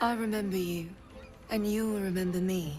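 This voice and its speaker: A put-on character voice, female-sounding and medium-pitched for a woman, at a moderate pace over clear background noise. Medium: video game. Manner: slow, soothing, hypnotic.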